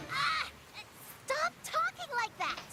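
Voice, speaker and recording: A woman uses a cartoonish character voice at an extremely high pitch. Light background noise sits behind it. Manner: sweet, earnest.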